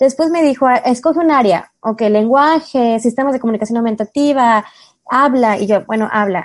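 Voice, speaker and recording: Against a quiet background, a woman speaks at a moderate pace in a high pitch with ordinary pitch variation. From Mexico. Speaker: special education therapist. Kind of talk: interview conversation.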